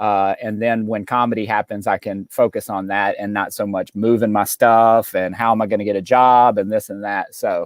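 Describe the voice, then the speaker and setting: With a Southern accent, a man talks at a moderate pace and a fairly low pitch with fairly even intonation. The recording is very clean with a silent background and a dry, close sound with no echo. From Mississippi, US South. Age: 30s. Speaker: stand-up comedian. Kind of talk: casual interview chat.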